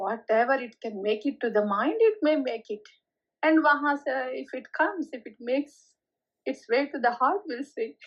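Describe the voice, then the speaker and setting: A woman with an Indian accent speaks at a high pitch, her lively intonation paired with big swings in loudness. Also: moderate pace. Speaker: spiritual teacher. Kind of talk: spiritual talk. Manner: code-switching Hindi and English; louder after reminder.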